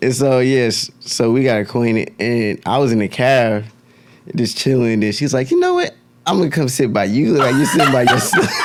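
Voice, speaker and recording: Noticeable background noise sits behind a man talking at a fairly quick pace and medium pitch. His loudness stays very even, with ordinary pitch variation. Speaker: podcast host. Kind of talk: casual chat.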